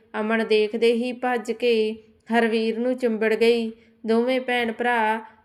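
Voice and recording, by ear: A text is being read aloud in a natural voice.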